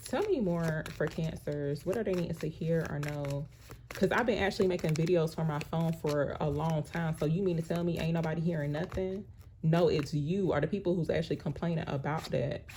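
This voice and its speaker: A soft-spoken woman talks at a fairly quick pace and fairly low pitch. Her intonation stays fairly even. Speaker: tarot card reader. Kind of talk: tarot reading monologue. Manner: soft-spoken, viewers say she talks too low.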